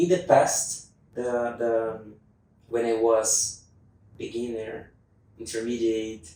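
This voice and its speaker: In a non-native accent, a man speaks at a very slow pace with fairly even intonation and long, frequent pauses, with audible room echo. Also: medium pitch for a man. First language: not English. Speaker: English learner student. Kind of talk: interview conversation. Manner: halting, with fillers.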